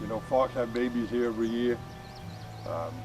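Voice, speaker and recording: Amid noticeable background noise, a man with a medium-pitched voice speaks at a fairly quick pace. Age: 60s. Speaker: alpaca farmer. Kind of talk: casual interview. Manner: halting, many fillers.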